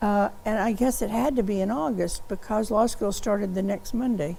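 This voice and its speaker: A dark, mellow voice with an American accent moves at a fairly quick pace amid audible room echo. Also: woman. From US South, Kentucky (Bowling Green). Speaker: law professor. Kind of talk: oral history interview. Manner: hesitant, with fillers and restarts.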